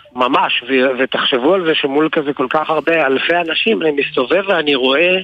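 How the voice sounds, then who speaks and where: Against noticeable background noise, a man talks at a moderate pace. His pitch is fairly high, with ordinary variation. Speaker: musician. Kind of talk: casual chat.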